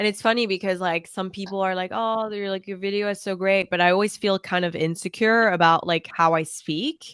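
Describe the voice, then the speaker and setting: A woman speaks at a fairly quick pace with a slight French accent and fairly even intonation. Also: medium pitch for a woman. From France, raised internationally. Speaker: fashion content creator. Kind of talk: casual chat. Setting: call.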